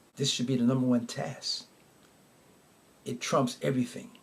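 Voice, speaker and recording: Fairly quick and somewhat breathy, a man speaks at medium pitch with very wide pitch swings. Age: 70s. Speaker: podcast host. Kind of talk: podcast monologue, partly reading prepared text.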